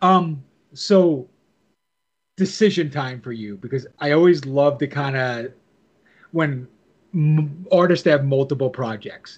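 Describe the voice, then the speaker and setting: The voice is somewhat breathy, with ordinary pitch variation. It moves at a very slow pace with long, frequent pauses. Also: man, fairly high pitch for a man. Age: 40s. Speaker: podcast host. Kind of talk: interview.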